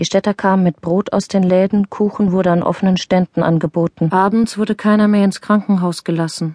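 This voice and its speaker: Against a quiet background, a woman speaks fairly quickly at a medium pitch in a dark, mellow tone, with monotone, flat intonation and a dry, close sound with no echo. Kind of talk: audiobook reading of a widow's testimony.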